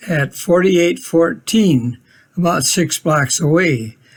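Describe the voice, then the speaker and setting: At a very slow pace, a man with an Upper Midwest accent speaks in a high pitch. His pitch varies in an ordinary way. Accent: Upper Midwest American. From Minnesota, Minneapolis. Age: 80s+. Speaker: retiree narrating family history. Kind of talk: home video narration.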